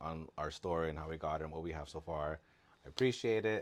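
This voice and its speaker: A man mumbles at a moderate pace with ordinary pitch variation. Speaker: doll collector vlogger. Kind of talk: casual collection show-and-tell. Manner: mumbling; casual, halting with fillers.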